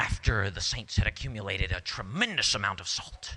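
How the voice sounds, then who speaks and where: A man talks in an ordinary speaking voice. His pitch is fairly low and his pace moderate. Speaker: storyteller and actor. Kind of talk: live storytelling performance, tall tale to an audience.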